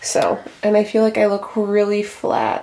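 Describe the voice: A woman speaks at a fairly slow pace in a medium pitch with a slightly mellow tone.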